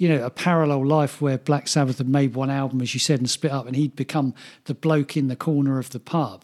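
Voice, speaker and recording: A man with an English accent speaks at a fairly high pitch and fairly quick pace, with fairly even intonation. The recording is very clean, with a silent background and a dry, close sound with no echo. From England. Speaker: podcast co-host. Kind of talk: casual chat.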